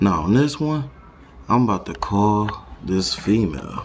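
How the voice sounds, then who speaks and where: A man speaks very slowly in a fairly low voice. His pitch swings very widely, and there is noticeable background noise. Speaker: prank caller vlogger. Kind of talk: casual chat.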